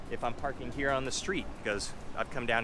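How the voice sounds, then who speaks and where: Music plays in the background as a man speaks. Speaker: real estate agent, vlogger. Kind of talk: walking vlog monologue. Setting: outdoors walking downtown.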